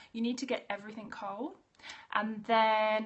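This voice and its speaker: A woman talks with an Australian accent. Her voice is fairly high-pitched. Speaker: naturopath. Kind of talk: live stream talk. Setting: live video stream. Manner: fast.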